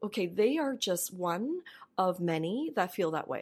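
A woman speaks in an unremarkable speaking voice at medium pitch, her intonation lively. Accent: Canadian. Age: 40s. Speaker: bank marketing executive. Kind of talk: interview.

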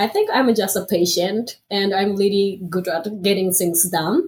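Somewhat breathy, a woman speaks at medium pitch with a Japanese accent. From northern Japan, Aomori Prefecture. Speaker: MBA student, former automotive engineer. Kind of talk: interview. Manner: halting.

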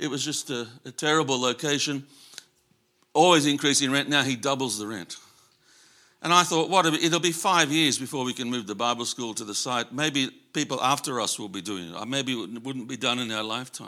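On a very clean recording with a silent background, a man with an Australian accent speaks fairly quickly at a medium pitch in a bright, sharp tone with ordinary pitch variation. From Australia, Sydney. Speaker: missionary. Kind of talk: sermon. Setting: church. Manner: halting, many fillers.

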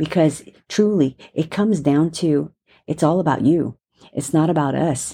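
A woman with a very deep, low pitch and a warm, dark, mellow tone speaks at a fairly slow pace with ordinary pitch variation in a very clean recording with a silent background. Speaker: prayer leader. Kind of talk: fervent intercessory prayer, spoken to God. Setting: recorded audio message for listeners. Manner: earnest, heartfelt, pleading; warm, reassuring, comforting.

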